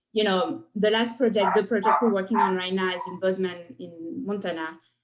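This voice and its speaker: With a French accent, a woman of medium pitch talks at a fairly quick pace. Her pitch varies in an ordinary way. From France. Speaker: cohousing consultant. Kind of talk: presentation.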